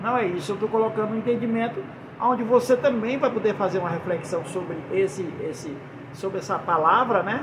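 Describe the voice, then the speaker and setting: Amid noticeable background noise and audible room echo, a man with a Brazilian accent talks at a fairly quick pace in a high pitch with lively intonation. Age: 60s. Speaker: preacher. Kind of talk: sermon. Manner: halting.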